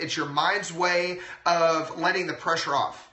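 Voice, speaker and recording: With an American accent, a man talks loudly at a moderate pace in a high voice, with noticeable background noise and audible room echo. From Texas. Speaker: chiropractor. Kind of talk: live-stream health talk. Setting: live video stream.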